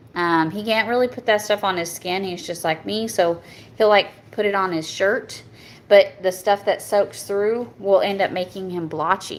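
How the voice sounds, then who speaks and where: Speaking with a strong Southern US accent, a woman keeps a fairly even intonation. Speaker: soap maker. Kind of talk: product review. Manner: halting, stumbles over words.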